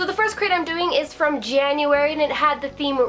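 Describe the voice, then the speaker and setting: Music plays in the background. Over it, a woman speaks with a high pitch. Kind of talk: casual talk to camera.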